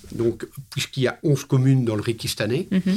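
A somewhat breathy man's voice at a moderate pace on a very clean recording with a silent background. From Belgium. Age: 60s. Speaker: hiking club president. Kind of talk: interview. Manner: hesitant, many fillers.

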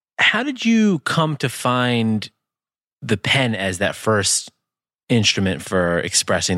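A man speaks at a medium pitch with very wide pitch swings and a bright, sharp tone, the sound dry and close with no echo. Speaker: podcast host and tech entrepreneur. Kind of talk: casual chat.

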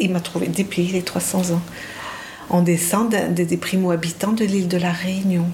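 Over noticeable background noise and audible room echo, a woman at a medium pitch speaks fairly slowly in a monotone, flat intonation with very even loudness. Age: 60s. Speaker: psychiatrist and psychoanalyst. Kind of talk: interview testimony. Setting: host's home. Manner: hesitant, with repetitions.

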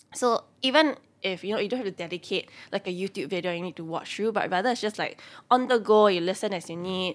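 Spoken in a Singaporean accent, the voice moves at a fairly quick pace with ordinary pitch variation. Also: woman. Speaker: personal finance content creator. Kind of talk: casual interview chat.

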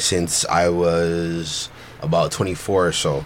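There is noticeable background noise. Through it, a man speaks with a very deep, low pitch. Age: 30s. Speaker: podcast guest. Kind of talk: casual chat.

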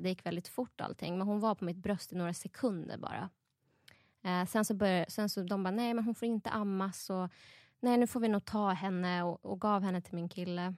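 In a plain, everyday voice, a woman speaks at a moderate pace and medium pitch, with ordinary pitch variation and a quiet background. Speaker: new mother. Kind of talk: casual chat.

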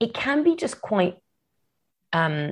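A woman with a fairly low pitch sounds somewhat breathy and makes very wide pitch swings. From grew up abroad (Kenya, Madagascar, Yemen, Morocco). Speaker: novelist. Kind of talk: interview.

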